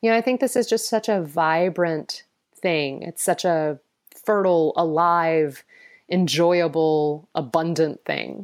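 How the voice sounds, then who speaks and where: At a fairly slow pace, a woman with an American accent and a normal speaking voice speaks at a fairly low pitch with ordinary pitch variation, on a very clean recording with a silent background. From US South, Atlanta. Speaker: founder of a sustainability education initiative. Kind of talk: interview.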